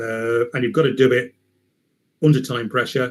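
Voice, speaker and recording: A man speaks at a fairly quick pace in a somewhat breathy voice. His intonation is fairly even. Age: 60s. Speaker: chemical process engineer. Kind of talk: online Q&A talk. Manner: hesitant, many fillers.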